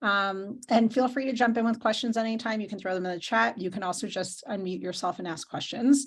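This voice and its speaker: Somewhat breathy and fairly high-pitched, this woman talks at a fairly quick pace with hardly any pauses. Her pitch varies in an ordinary way. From New Jersey. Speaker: lawyer. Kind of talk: lecture. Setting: video call. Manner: fast.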